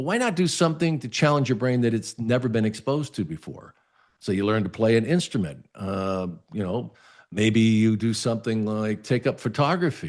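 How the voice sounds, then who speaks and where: Against a quiet background, a man with an ordinary speaking voice talks at a moderate pace in a medium pitch with lively intonation. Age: 60s. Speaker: lifestyle show host. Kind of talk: advice talk to camera. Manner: casual, conversational with fillers.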